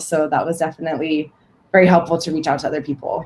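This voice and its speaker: In a Californian accent, the voice runs at a very fast pace with monotone, flat intonation. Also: woman. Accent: Californian American. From San Francisco Bay Area. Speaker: sales professional. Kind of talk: self-introduction at online networking event.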